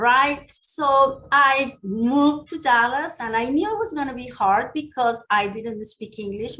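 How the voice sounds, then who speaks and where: With a Mexican accent, the voice has a bright, sharp tone, ordinary pitch variation and a moderate pace. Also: woman. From Mexico City. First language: Spanish. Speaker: county commissioner and dentist. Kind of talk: speech. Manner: conversational.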